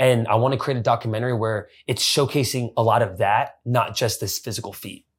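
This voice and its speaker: Somewhat breathy, this man's voice comes through. He moves at a fairly quick pace. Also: medium pitch for a man. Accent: American. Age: 20s. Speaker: runner and content creator. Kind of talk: casual chat. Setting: in person, outdoors overlooking skyline. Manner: animated.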